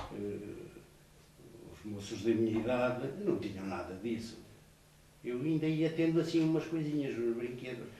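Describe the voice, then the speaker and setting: Over noticeable background noise and audible room echo, a man with a medium pitch speaks with lively intonation and long, frequent pauses. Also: fairly slow pace. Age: 70s. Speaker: retired labour inspector and former primary teacher. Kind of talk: interview, life memories. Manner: halting, with fillers and repetitions.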